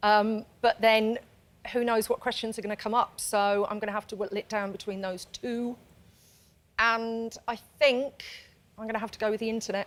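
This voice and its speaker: A woman with a Birmingham accent and monotone, flat intonation, on a very clean recording with a silent background. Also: fairly high pitch for a woman, moderate pace. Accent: Birmingham accent, noticeable. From Birmingham, England. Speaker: quiz contestant, training consultant. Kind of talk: game show chat.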